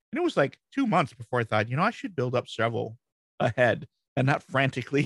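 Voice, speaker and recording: Talking at a very fast pace, a man with an American accent has a somewhat breathy, medium-pitched voice. The recording sounds dry and close, with no echo. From Michigan, US Midwest. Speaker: WordPress strategist and blog founder. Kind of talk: casual interview.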